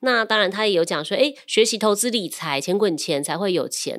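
In a plain, everyday voice, a woman speaks at a moderate pace with lively intonation on a very clean recording with a silent background. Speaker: loan manager and podcast co-host. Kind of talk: casual chat.

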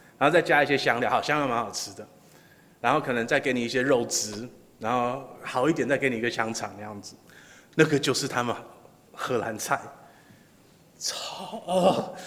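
Amid audible room echo, a man talks at a fairly quick pace with long, frequent pauses, big swings in loudness and ordinary pitch variation. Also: medium pitch for a man. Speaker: pastor. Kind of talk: sermon. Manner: halting, many filler sounds.

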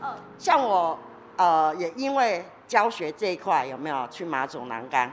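Over music in the background, a woman with a fairly low voice speaks at a fairly slow pace, her pitch swinging very widely and her loudness rising and falling sharply. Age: 50s. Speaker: metalwork craft teacher. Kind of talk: interview. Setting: workshop studio.

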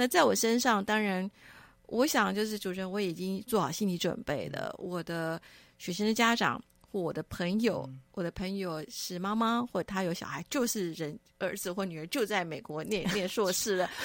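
A woman speaks in an ordinary speaking voice at medium pitch. Her pace is moderate with ordinary pitch variation, on a very clean recording with a silent background. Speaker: author and curator. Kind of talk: radio interview.

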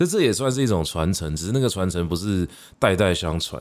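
Speaking at a fairly quick pace, a man with a Taiwanese accent has a very deep, low pitch. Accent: Taiwanese Mandarin. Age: middle-aged. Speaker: podcast host and literature teacher. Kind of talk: solo educational monologue. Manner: casual with frequent fillers.

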